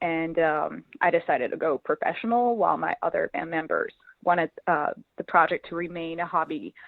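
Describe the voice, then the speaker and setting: The pace is moderate. A woman speaks at a fairly low pitch. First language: French. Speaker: musician. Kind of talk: interview. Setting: phone call. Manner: hesitant, many fillers.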